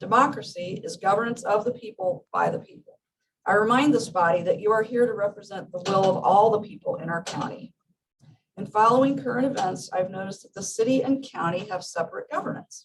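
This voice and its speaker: This woman talks at a fairly quick pace in a fairly high, somewhat breathy voice, her pitch varying in an ordinary way while her loudness swings widely. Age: 60s. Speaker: small farmer speaking at public comment. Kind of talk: prepared public comment read aloud. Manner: formal.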